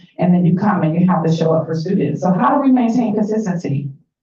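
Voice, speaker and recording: With an American accent, a woman speaks at a fairly low pitch. Her voice has audible room echo. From Atlanta, Georgia, US South. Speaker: workshop facilitator. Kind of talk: interactive workshop presentation. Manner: conversational, engaging audience.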